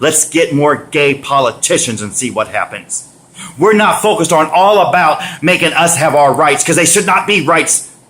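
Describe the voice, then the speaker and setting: Over noticeable background noise, a man with an American accent speaks at a moderate pace, his fairly high pitch showing ordinary variation. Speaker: vlogger. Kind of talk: rant. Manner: loud; animated.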